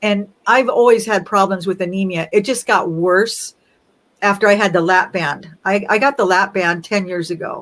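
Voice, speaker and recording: This is an ordinary speaking voice from a woman with a medium pitch. Her intonation is fairly even and her pace moderate. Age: 60s. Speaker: interview guest sharing weight-loss story. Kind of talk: casual interview, personal testimony.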